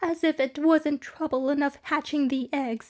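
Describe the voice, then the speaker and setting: At a moderate pace, a shrill put-on character voice speaks with fairly even intonation. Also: woman, high pitch for a woman. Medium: read story. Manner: shrill, aggrieved, contemptuous.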